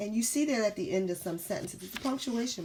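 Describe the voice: Someone reads aloud in a plain way.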